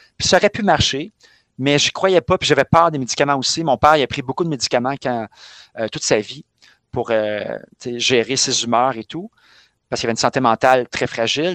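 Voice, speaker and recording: A man in a normal speaking voice talks at a fairly quick pace and fairly high pitch, with ordinary pitch variation and a dry, close sound with no echo. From Quebec, Montreal. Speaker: physical education teacher. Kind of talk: casual chat.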